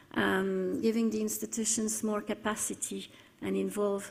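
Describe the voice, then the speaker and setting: Audible echo from the room surrounds a woman who speaks fairly slowly. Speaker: conference speaker on cooperation programme. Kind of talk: conference presentation. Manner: halting, many fillers.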